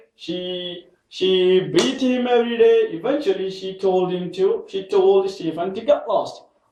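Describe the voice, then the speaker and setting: Lively intonation colors the speech of a man who keeps to a fairly slow pace. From India, Kerala. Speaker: English learner teaching with mini-stories. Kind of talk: question-and-answer mini story lesson.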